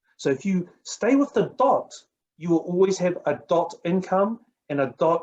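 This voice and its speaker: Speaking at a fairly slow pace, a man with a New Zealand accent has a high voice. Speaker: network marketing coach. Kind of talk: motivational talk. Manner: animated.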